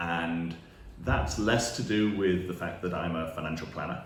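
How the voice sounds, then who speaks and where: A man with a British accent and a very deep, low pitch is heard through noticeable background noise and audible room echo. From UK. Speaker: financial planner. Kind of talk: direct-to-camera talk.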